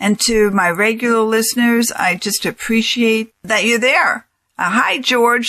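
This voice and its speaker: At a fairly slow pace, a woman with an American accent speaks in a fairly high voice with a bright, sharp tone, recorded very cleanly against a silent background. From New York. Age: 60s. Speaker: financial advisor and radio host. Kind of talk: radio talk show monologue.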